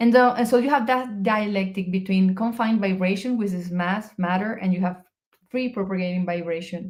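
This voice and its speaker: A woman talks at a fairly quick pace in a Spanish accent. Her medium-pitched voice is somewhat breathy, with ordinary pitch variation. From Venezuela. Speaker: research physicist. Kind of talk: interview conversation. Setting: live video stream. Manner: halting, with repetitions.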